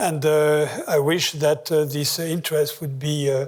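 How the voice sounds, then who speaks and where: This man speaks with a strong French accent in a fairly high voice. The recording is very clean, with a silent background. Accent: heavy French. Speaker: economist. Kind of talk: lecture. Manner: hesitant, many filler sounds.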